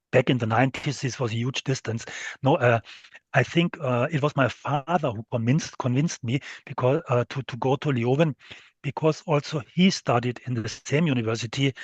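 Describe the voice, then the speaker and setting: A man with a medium pitch and ordinary pitch variation speaks at a fairly quick pace in a somewhat breathy voice, the sound dry and close with no echo against a quiet background. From western Germany, near French and Luxembourg border. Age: 60s. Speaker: steel industry executive. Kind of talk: interview. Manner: halting, many fillers.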